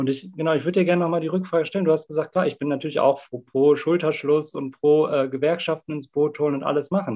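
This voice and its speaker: This man has an ordinary speaking voice with a fairly high pitch. He talks at a fairly quick pace with lively intonation. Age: 30s. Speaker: climate activist. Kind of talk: debate.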